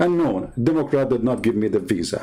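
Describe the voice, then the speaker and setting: A man with an Arabic accent and a dark, mellow tone talks at a moderate pace with very wide pitch swings, and audible room echo surrounds him. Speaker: religious debater, livestreamer. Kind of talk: livestream rant. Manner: animated, heated.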